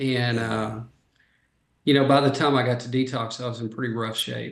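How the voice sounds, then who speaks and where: Speaking at a moderate pace with a Texas accent, a man of medium pitch keeps fairly even intonation amid audible room echo. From North Texas. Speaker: addiction treatment expert. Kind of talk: podcast interview.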